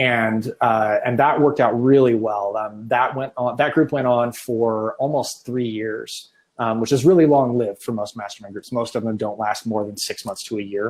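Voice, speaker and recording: A medium-pitched male voice at a moderate pace with hardly any pauses. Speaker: art business podcast host. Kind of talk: casual chat. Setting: live video stream. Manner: animated.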